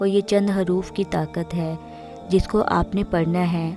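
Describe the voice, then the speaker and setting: With music in the background, a woman speaks at a medium pitch in monotone, flat intonation. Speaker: hobby voice-over artist. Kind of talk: Islamic motivational talk.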